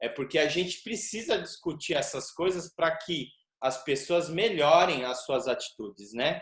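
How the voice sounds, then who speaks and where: A man at a high pitch, fairly slow and with lively intonation. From Brazil. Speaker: capoeira teacher, interviewer. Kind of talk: interview.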